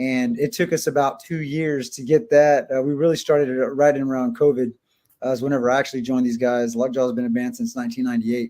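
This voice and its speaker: This man speaks very fast at a medium pitch, his tone dark and mellow. His intonation stays fairly even. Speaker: metal band member. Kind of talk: interview.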